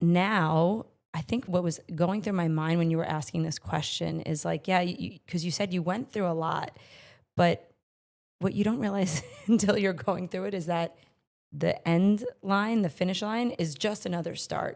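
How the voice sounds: A woman speaks at a moderate pace with a fairly low pitch. Her slightly mellow tone is raspy, with vocal fry. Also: ordinary pitch variation.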